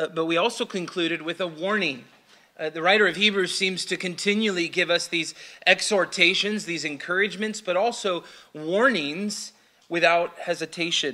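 A man speaks with a bright, sharp tone. His intonation stays fairly even. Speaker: pastor. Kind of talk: sermon. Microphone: podium.

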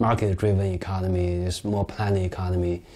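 With a Chinese accent, a man speaks at a moderate pace in a fairly low pitch, his tone dark and mellow. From China, Beijing. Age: 40s. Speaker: novelist; interviewee. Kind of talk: interview. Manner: halting, many fillers. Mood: calm, reflective, sometimes smiling. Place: home room. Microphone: lapel.

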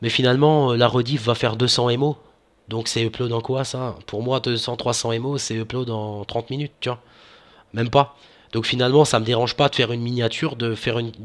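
The man's delivery is monotone and flat, at a moderate pace. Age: 20s. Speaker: gaming youtuber; gaming channel host. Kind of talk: casual vlog to viewers. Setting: home recording with webcam. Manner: hesitant, many fillers. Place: home room. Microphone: headset.

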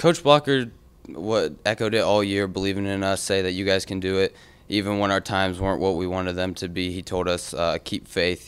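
Here a man speaks with a very deep, low pitch. His pace is fairly quick and his intonation fairly even. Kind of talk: interview answer. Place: meeting room. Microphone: podium.

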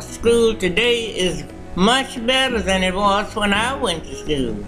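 Clear music plays in the background. A woman speaks at a medium pitch and a very slow pace. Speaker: retired schoolteacher. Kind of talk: interview answer. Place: hall.

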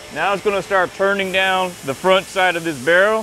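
A man speaks with a raised, projected voice. Light background noise can be heard. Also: dry sound with no echo. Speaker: machinist at the factory. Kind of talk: explanation on a factory tour. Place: factory.

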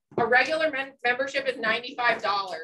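A woman with an American accent speaks at a fairly high pitch in a bright, sharp tone over light background noise. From New Jersey. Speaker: farm bureau chapter president. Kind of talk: presentation. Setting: stage with audience. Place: meeting room. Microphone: camera far.

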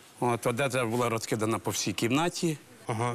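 A man talks at a fairly quick pace. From Ukraine. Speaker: village head. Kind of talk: talk show testimony. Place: studio. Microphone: lapel.

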